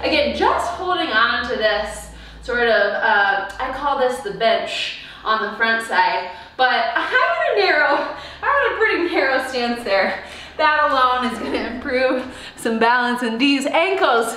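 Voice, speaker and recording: In a room with strong echo, a woman with a high pitch and lively intonation projects her raised voice at a fairly slow pace in an upbeat, playful tone. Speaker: fitness instructor. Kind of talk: live online workout class, cueing exercises. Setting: video workout, recorded at home. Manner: upbeat, encouraging, playful; rhythmic, punchy cues. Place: home room. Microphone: camera far.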